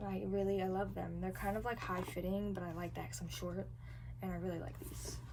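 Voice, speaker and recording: A woman speaks fairly quickly, her voice carrying audible room echo over noticeable background noise. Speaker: book vlogger. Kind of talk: casual vlog. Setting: public bus terminal. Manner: animated.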